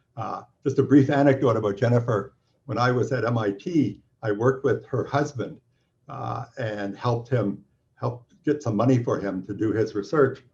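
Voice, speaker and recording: Somewhat breathy, the voice has a Canadian accent and ordinary pitch variation. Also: man, medium pitch for a man, moderate pace. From Canada. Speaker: physics professor. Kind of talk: welcome talk. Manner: halting, many fillers.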